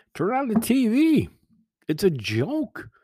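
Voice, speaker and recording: A man's voice carries a dark, mellow tone with very wide pitch swings. The sound is dry and close, with no echo. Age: 60s. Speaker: podcast host. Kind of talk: solo podcast monologue. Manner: halting.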